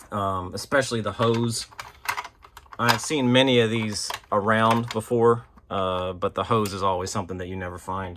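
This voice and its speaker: There is noticeable noise in the background. A man talks at a moderate pace in a fairly low voice with fairly even intonation. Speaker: toy collector and unboxing video host. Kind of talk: casual unboxing show-and-tell. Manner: casual, filler-heavy (um, uh).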